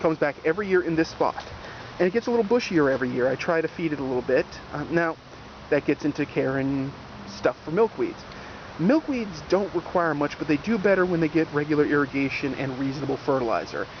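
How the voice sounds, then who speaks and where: A man with a fairly high voice talks at a very fast pace with lively intonation, with noticeable background noise behind him. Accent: American. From New Jersey. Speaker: gardening video host. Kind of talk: casual outdoor garden tour. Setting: outdoors in a garden. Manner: casual, animated.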